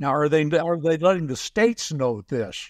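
A man speaks at a fairly slow pace with lively intonation and a fairly high pitch. His slightly mellow tone sounds dry and close, with no echo.

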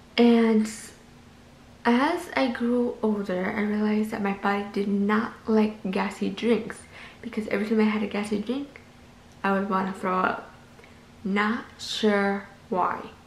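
Spoken in an American accent at a fairly slow pace, the voice holds fairly even intonation with long, frequent pauses, light background noise and audible room echo. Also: woman, fairly high pitch for a woman. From US Midwest (Minnesota). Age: 20s. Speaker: lifestyle vlogger. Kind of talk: vlog monologue. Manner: casual with fillers. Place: home room. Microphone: phone near.

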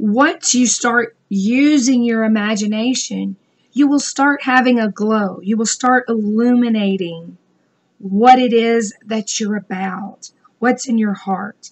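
A woman speaks very slowly and somewhat breathily, her fairly high pitch showing ordinary variation. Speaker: business coach vlogger. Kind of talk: motivational talk. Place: home room. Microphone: webcam.

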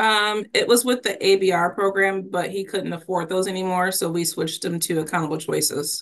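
A woman with an ordinary speaking voice talks at a medium pitch and a moderate pace. Her intonation stays fairly even, with hardly any pauses. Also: quiet background. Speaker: prosecutor. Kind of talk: court hearing.

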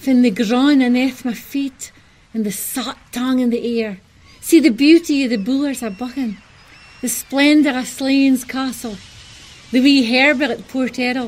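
With a northeast Scottish accent, a woman speaks at a high pitch and with fairly even intonation over noticeable background noise. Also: moderate pace. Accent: Doric Scots. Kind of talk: poetic short film narration.

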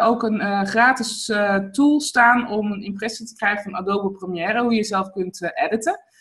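A bright, sharp tone at a moderate pace. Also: woman. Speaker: online video coach and interviewer. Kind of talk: casual interview. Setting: video call. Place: home room. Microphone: webcam.

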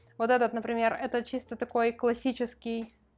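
The woman's voice is high. She speaks at a moderate pace. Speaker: beauty vlogger. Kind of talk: casual vlog monologue. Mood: relaxed, chatty. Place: home room.

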